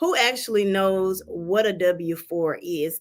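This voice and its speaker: A woman talks with a Southern US accent. Her pitch is medium. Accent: Southern US (Georgia). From Georgia, US South. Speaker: tax preparer. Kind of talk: livestream tutorial. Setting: livestream from office.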